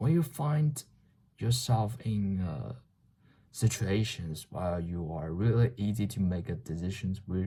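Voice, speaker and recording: A man with a Chinese accent, a fairly low pitch, a dark, mellow and somewhat breathy tone, lively intonation and a very slow pace. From China. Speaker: vlogger. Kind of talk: casual monologue. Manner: halting.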